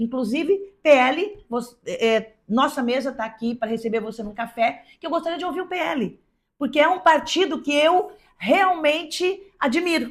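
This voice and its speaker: On a very clean recording with a silent background, a woman speaks at a moderate pace in a high pitch. Her intonation is lively and her loudness swings widely. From Brazil, São José do Rio Preto area. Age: 60s. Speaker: podcast host. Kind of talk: interview conversation.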